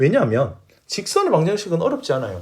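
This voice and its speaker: A man speaks at a moderate pace with very wide pitch swings. Vocal fry runs through his voice. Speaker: math teacher. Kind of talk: lecture.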